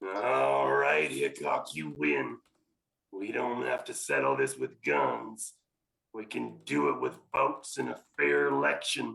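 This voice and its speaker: In a put-on character voice, a man drawls at a fairly slow pace, raspy and very deep in pitch. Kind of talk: 1940s radio acting. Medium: old radio play. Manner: drawling, folksy frontier slang.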